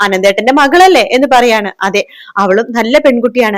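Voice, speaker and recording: A woman with a fairly high pitch and lively intonation speaks in a plain, everyday voice. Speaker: TV serial review YouTuber. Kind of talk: plot recap monologue.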